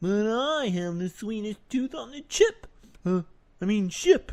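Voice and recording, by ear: Someone puts on a character voice, speaking fairly slowly at a fairly high pitch.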